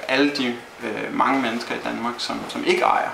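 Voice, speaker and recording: A man talks fairly slowly while noticeable background noise and audible room echo fill the recording. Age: 20s. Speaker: political party youth secretary. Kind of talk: interview. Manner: halting, many fillers and repetitions.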